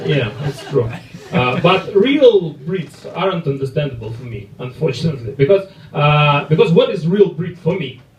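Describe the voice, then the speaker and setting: Speaking in a Russian accent at a fairly high pitch, a man talks at a moderate pace with lively intonation and big swings in loudness, over noticeable background noise. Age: 30s. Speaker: comedian. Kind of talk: stand-up. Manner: halting.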